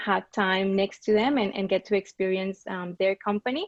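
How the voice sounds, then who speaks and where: A woman with a Colombian accent at a medium pitch and a moderate pace, her intonation monotone and flat. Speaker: business strategy and marketing coordinator. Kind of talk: panel discussion.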